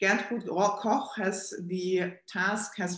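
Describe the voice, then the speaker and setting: Against a quiet background with audible room echo, a woman speaks with fairly even intonation. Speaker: event host. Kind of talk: formal introduction. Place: office. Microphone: webcam.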